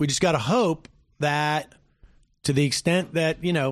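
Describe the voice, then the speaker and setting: A man speaks against a quiet background. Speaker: radio host. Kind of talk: live political talk show. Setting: studio.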